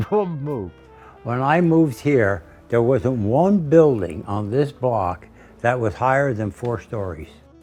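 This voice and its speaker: A man with a medium-pitched voice speaks at a fairly slow pace, his pitch swinging very widely over music in the background. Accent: American. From Newark, New Jersey. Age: 80s+. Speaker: painter. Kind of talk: interview answer.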